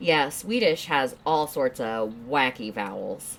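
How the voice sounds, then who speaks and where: A very slow voice in an American accent, with music in the background. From US South, Memphis. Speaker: livestreamer. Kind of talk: casual chat. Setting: livestream.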